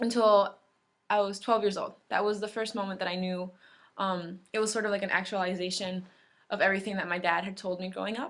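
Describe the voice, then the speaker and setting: A woman at a fairly quick pace, medium in pitch, monotone and flat in intonation, over a quiet background. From US, raised from infancy; born in Mexico. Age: 20s. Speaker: immigrant activist. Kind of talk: personal testimony. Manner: casual, many fillers like um and like.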